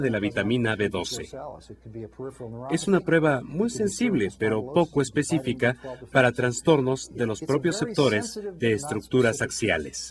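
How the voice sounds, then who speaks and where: Against noticeable background noise, a man talks at a moderate pace and a medium pitch. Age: 60s. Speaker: physician demonstrating a neurological exam. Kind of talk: clinical teaching demonstration.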